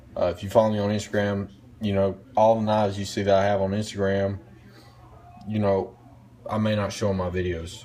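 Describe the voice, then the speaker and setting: Speaking at a fairly quick pace in a Southern US accent, a man with a fairly low voice keeps a flat monotone broken by long, frequent pauses. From US South, North Carolina. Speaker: knife reviewer. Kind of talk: casual vlog monologue. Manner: rambling, hesitant with fillers.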